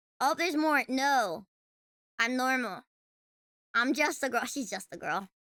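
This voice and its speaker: A woman's raised, projected voice with a bright, sharp tone comes through a dry, close recording with no echo, broken by long, frequent pauses. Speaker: vtuber streamer. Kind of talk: casual livestream chat. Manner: halting, many fillers and restarts; animated.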